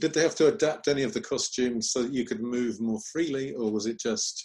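An unremarkable speaking voice with ordinary pitch variation at a moderate pace. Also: man. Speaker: martial arts TV interviewer. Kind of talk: interview.

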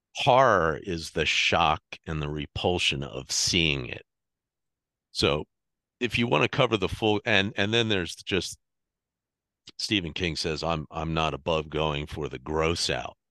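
A man with a very deep, low voice and vocal fry speaks in a bright, sharp tone with lively intonation. He goes at a fairly slow pace with long, frequent pauses against a quiet background. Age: 50s. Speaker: horror author. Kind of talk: casual chat. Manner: halting.

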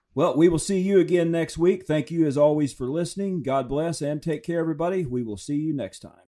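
A man with a fairly high pitch and a dark, mellow tone speaks at a fairly quick pace with hardly any pauses, showing ordinary pitch variation. His loudness swings widely, and the recording is very clean with a silent background. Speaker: podcast host. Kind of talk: interview conversation.

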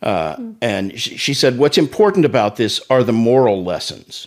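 A man with an American accent uses an ordinary speaking voice at medium pitch. He keeps a moderate pace with lively intonation. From Oklahoma City. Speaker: pastor and ministry executive. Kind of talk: testimony.

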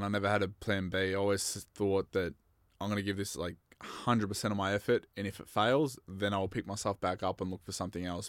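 A man's fairly low, monotone, flat voice with an Australian accent on a very clean recording with a silent background. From Australia, Bendigo, Victoria. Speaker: mixed martial arts fighter. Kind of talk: casual chat.

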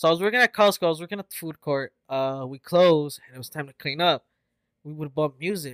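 Delivered at a very fast pace, the speech shows big swings in loudness and ordinary pitch variation, with a dry, close sound and no echo. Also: man, fairly high pitch for a man. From US, Mexican-American family. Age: 20s. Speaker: podcast co-host. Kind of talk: casual chat.

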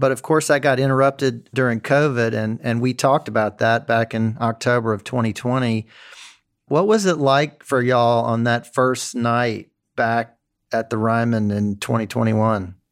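In a very clean recording with a silent background, a man speaks in a normal speaking voice at a medium pitch and a moderate pace with fairly even intonation. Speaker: podcast host and magazine editor. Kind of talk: casual interview.

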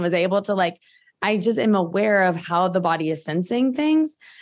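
A woman speaks in a plain, everyday voice at medium pitch and a moderate pace. Her intonation is lively, and the recording is very clean with a silent background. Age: 30s. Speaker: functional medicine practitioner. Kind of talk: interview. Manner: casual, filler-heavy.

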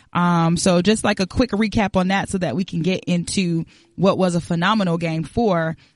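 The tempo is moderate, with ordinary pitch variation. Overall, it's a plain, everyday voice. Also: woman. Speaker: podcast producer and moderator. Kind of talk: casual chat.

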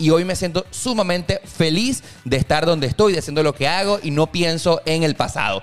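Noticeable background noise surrounds this man. His high-pitched voice carries lively intonation. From Venezuela (Valencia). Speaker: podcast host. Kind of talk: casual chat.

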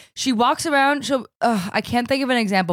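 This is an unremarkable speaking voice with an American accent. The intonation is lively and the pace moderate. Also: woman. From New Jersey. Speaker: podcast host. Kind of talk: casual chat.

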